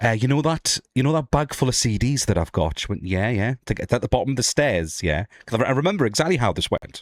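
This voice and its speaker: Very wide pitch swings and vocal fry mark a man's medium-pitched voice as he races along with hardly any pauses. The recording is dry and close, with no echo. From northeast England. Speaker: streamer and podcast host. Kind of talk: casual podcast chat. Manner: halting, many repeats and fillers.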